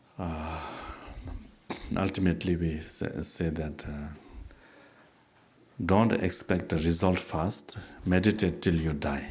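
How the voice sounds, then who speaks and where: Speaking at a very slow pace with long, frequent pauses, a man with a very deep, low pitch sounds somewhat breathy, his intonation fairly even, while audible room echo surrounds him. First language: not English. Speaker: Buddhist teacher. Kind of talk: dharma talk with questions and answers. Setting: teaching event with audience. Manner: halting with fillers.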